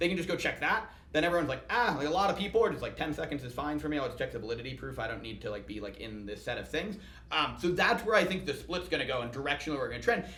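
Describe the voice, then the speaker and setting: A man talks at a very fast pace with a fairly high pitch and very wide pitch swings. Noticeable background noise and audible room echo fill the recording. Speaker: startup founder and CEO. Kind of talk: podcast interview.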